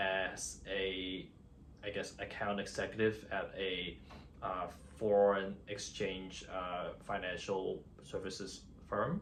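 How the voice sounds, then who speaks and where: A man with an American accent, fairly low-pitched, very slow, and monotone with flat intonation, plus audible room echo. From Hong Kong and New York City (Queens) from age 13. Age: 30s. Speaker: finance worker and vlogger. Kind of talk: personal vlog monologue. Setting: on camera. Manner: hesitant, many fillers.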